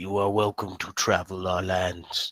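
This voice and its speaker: In a raspy, put-on character voice with a very deep, low pitch, a man speaks at a moderate pace on a very clean recording with a silent background. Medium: actual play. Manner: slow, over-pronouncing the wrong syllables.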